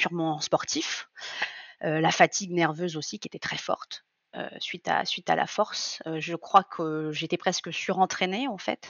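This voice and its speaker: Fairly low-pitched woman's voice with ordinary pitch variation. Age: 30s. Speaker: coaching client, amateur lifter. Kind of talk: testimony. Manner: hesitant, many fillers.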